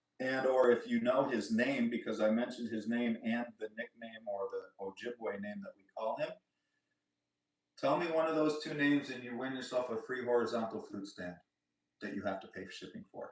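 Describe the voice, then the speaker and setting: His loudness swings widely as this man talks at a medium pitch with ordinary pitch variation. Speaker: flute maker and seller. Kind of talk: livestream chat with viewers. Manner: fast; casual, animated.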